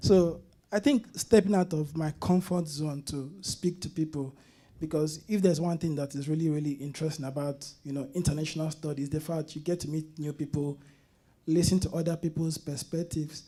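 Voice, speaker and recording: Someone with a Nigerian accent talks at a fairly quick pace. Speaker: college student. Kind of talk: panel interview.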